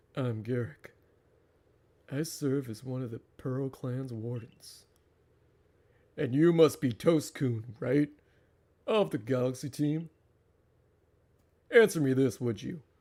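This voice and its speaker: Doing a put-on character voice at a medium pitch, a man talks at a fairly slow pace with long, frequent pauses. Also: big swings in loudness. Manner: formal, authoritative.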